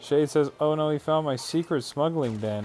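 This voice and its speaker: A man's lively intonation and fairly slow pace come through noticeable background noise. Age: 30s. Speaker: gaming streamer. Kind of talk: live stream chat. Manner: animated.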